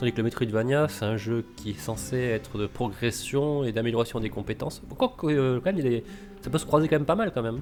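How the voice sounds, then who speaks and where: Music plays in the background as a man talks at a very fast pace. His pitch is medium and his intonation lively. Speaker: podcast host. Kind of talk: casual chat.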